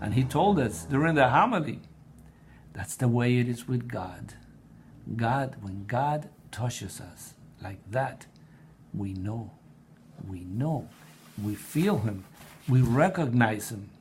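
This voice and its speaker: Somewhat breathy, a man speaks very slowly with a Spanish accent, leaving long, frequent pauses. His loudness swings widely, and room echo is audible. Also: medium pitch for a man, lively intonation. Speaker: blog writer and presenter on prayer. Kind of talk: personal testimony. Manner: halting, with repetitions.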